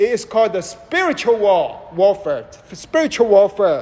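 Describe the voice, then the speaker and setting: This man talks at a very slow pace. His pitch swings very widely. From Malaysia. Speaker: preacher. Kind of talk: sermon. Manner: interactive, questions to audience.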